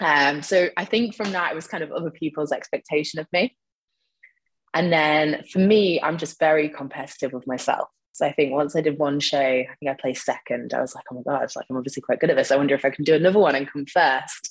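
Very fast and in a British accent, a woman talks with a very deep, low pitch and ordinary pitch variation. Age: 30s. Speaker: online fitness coach and nutritionist, former bodybuilding competitor. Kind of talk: casual interview.

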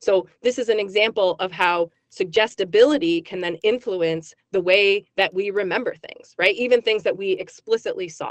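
Speaking in a plain, everyday voice, a woman keeps a medium pitch with ordinary pitch variation and big swings in loudness. Her moderate pace comes through a dry, close sound with no echo. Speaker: psychology professor. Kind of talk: radio interview.

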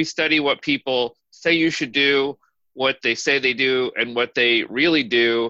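With an ordinary speaking voice, a man talks at a fairly slow pace and medium pitch, his intonation fairly even and the sound dry and close with no echo. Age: 40s. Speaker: podcast co-host, anthropology professor. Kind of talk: casual chat.

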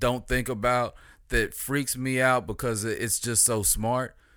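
A plain, everyday voice from a man at a medium pitch and a fairly slow pace, in a very clean recording with a silent background. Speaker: podcast co-host. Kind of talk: casual chat.

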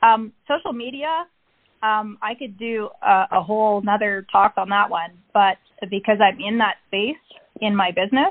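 Moderately paced speech from a woman, fairly high in pitch and with ordinary pitch variation. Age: 40s. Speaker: entrepreneur and mother. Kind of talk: interview.

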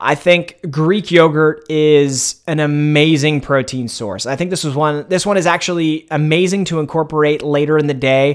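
A man with an ordinary speaking voice, fairly high in pitch, at a moderate pace with fairly even intonation and hardly any pauses. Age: 30s. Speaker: online fitness coach and podcast host. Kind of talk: solo podcast monologue, casual.

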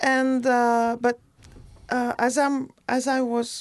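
A woman speaks very slowly in a French accent. Her pitch is fairly high. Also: quiet background. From France, near Bordeaux. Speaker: artist and costumer. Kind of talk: casual interview. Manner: halting, many fillers.

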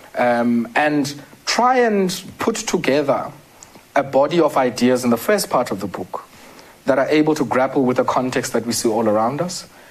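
Fairly high male voice at a moderate pace, lively intonation, noticeable background noise. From South Africa, Eastern Cape (Queenstown area). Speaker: development economist and author. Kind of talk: interview.

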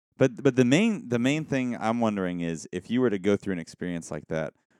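A man speaks at a fairly quick pace with a fairly low pitch and very wide pitch swings. His tone is dark and mellow, the sound dry and close with no echo. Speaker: podcast co-host and musician. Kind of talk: casual chat.

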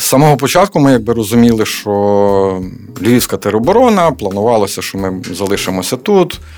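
A man speaks at a moderate pace with lively intonation and a medium pitch, over noticeable background noise. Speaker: artist and soldier. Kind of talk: radio interview. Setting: studio. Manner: hesitant, many filler sounds.

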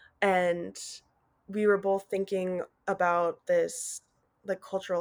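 A woman speaks at a fairly slow pace in a plain, everyday voice, her pitch medium. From Colorado, US. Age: 20s. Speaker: artist. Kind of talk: interview.

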